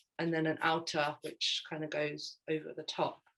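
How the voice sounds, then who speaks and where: A woman with a London accent. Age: 30s. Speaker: fashion designer. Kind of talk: slide presentation. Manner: hesitant, many fillers.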